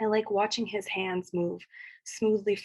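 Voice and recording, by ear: Someone is reading aloud in a natural voice. The intonation is fairly even.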